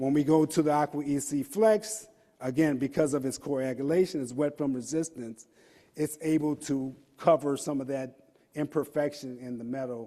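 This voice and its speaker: This man's voice sits at a fairly high pitch, moving at a moderate pace with ordinary pitch variation. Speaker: industry engineer presenting at conference. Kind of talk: technical conference presentation. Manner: hesitant with fillers and repetitions.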